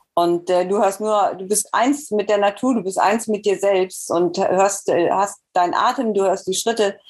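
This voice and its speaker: Fairly even in intonation, the delivery proceeds very slowly. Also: woman. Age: 50s. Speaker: masters marathon runner. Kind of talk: interview.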